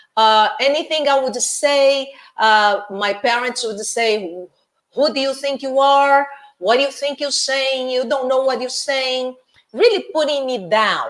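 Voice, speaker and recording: Someone with a Brazilian accent speaks at a fairly slow pace with ordinary pitch variation. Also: woman, high pitch for a woman. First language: Portuguese. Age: 60s. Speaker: life coach. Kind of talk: interview. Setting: live video interview.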